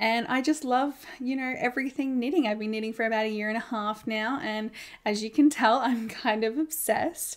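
The speaker has an Australian accent and fairly even intonation. Pauses are few. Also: woman, fairly high pitch for a woman, moderate pace.

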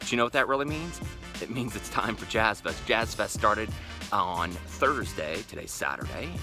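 Clear music plays in the background as a man talks at a very fast pace, the sound dry with no echo. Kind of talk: casual vlog chat. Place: garden. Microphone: phone near.

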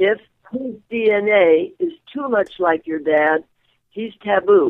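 A woman speaks at a very slow pace, her pitch swinging very widely. The background is quiet. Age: 80s+. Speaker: sex therapist, radio talk show guest; radio talk show guest. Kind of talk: radio interview answer, explanatory talk. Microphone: phone line.

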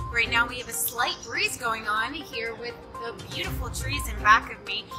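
A woman talks at a fairly quick pace. Music is clearly heard in the background. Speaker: broadcast meteorologist. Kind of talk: TV weather forecast. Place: street.

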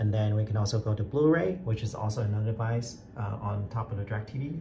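Noticeable background noise runs behind this recording. A man speaks at a fairly low pitch. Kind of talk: tutorial. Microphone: phone near.

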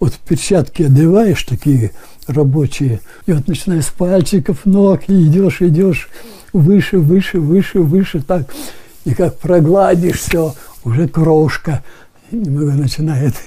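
At a very slow pace, a man talks in a fairly high pitch. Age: 80s+. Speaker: retired firefighter. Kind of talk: interview answer. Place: home room. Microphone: lapel.

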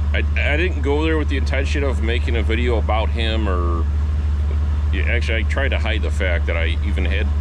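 Over noticeable background noise, a man speaks at a moderate pace in a very deep, low voice. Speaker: van enthusiast vlogger. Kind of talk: casual vlog chat. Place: street. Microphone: phone near.

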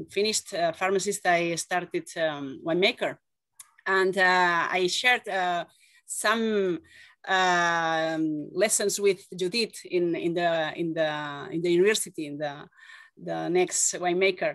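At a very slow pace, a woman talks in a fairly low pitch with fairly even intonation, the sound dry with no echo and the background quiet. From Catalonia, Spain. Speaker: winemaker. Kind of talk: interview. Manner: halting. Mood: friendly, smiling. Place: home room. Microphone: video call.

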